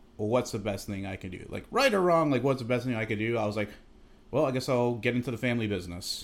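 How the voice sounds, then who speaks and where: Ordinary pitch variation marks the speech. It runs at a very fast pace. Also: man, medium pitch for a man. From Massachusetts, Chicopee. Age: 30s. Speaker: Coast Guard storekeeper, former Army infantryman. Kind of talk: casual interview over drinks. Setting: at his home.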